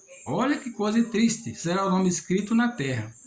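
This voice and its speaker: Lively intonation carries at a moderate pace through audible room echo and noticeable background noise. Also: man. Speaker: lay preacher. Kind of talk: sermon.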